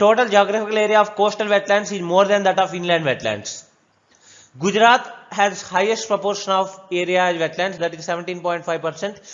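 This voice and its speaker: Speaking at a fairly quick pace, a man with a high-pitched voice keeps his intonation fairly even. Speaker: exam coaching teacher. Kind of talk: lecture. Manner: fast.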